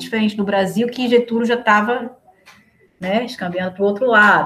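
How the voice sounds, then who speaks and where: A woman talks in a somewhat breathy voice. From Recife, Northeast Brazil. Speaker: historian, researcher. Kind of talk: casual interview chat.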